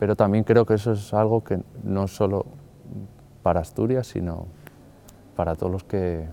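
Here a man speaks in a dark, mellow tone. His pace is moderate and his intonation fairly even. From Madrid, Spain. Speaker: artist. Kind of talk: interview monologue. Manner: halting, with fillers.

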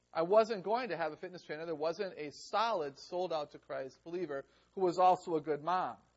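A man's high-pitched voice at a fairly quick pace. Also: ordinary pitch variation. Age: 50s. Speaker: educator giving a workshop. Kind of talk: lecture. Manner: conversational, engages audience.

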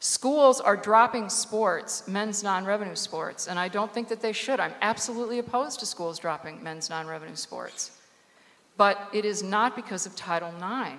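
A woman at a medium pitch, moderate pace and ordinary pitch variation, over noticeable background noise. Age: 50s. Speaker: sports sociology panelist. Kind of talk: panel discussion.

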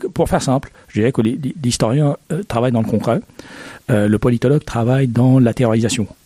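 Over noticeable background noise, a man talks at medium pitch and a moderate pace with ordinary pitch variation and very even loudness, in a dry, close sound with no echo. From Egypt. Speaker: history professor. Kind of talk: interview. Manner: halting.

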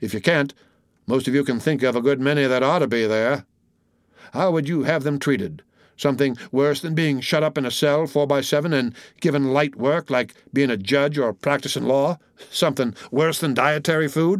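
An ordinary speaking voice moves at a moderate pace with ordinary pitch variation. The recording is very clean, and the background is silent. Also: man, fairly high pitch for a man. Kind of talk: period debate speech, read aloud. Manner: solemn, oratorical, measured.

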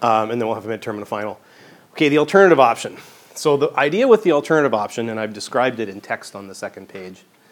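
With a slight Canadian accent, a man at a medium pitch talks at a very fast pace, his intonation lively and his loudness swinging widely. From Western Canada, Vancouver. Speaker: professor. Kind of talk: lecture.

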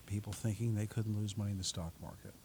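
This man has an American accent and a fairly low pitch with ordinary pitch variation. His voice is somewhat breathy. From New York City, Staten Island. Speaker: portfolio manager and author. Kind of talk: radio interview. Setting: radio studio.

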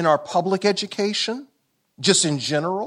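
The recording is very clean, and the background is silent. In it, a man talks with an American accent. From US South, Columbia, South Carolina. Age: 60s. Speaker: law professor. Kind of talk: lecture. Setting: stage with audience.

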